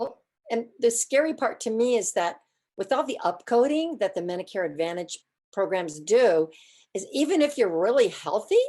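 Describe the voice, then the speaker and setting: Her voice fairly high in pitch with a dark, mellow tone, a woman speaks at a moderate pace. She makes very wide pitch swings against a quiet background. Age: 70s. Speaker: audience member asking questions. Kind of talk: Q&A question.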